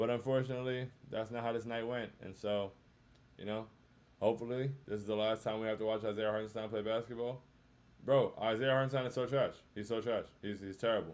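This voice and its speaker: A man's medium-pitched voice at a fairly quick pace, in a flat monotone. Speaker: sports podcast host. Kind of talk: casual chat. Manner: low energy.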